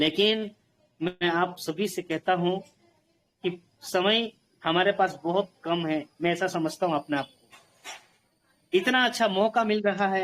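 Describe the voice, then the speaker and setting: A man talks fairly slowly in a high pitch, with ordinary pitch variation. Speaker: network marketing motivational speaker. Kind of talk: motivational speech to online group.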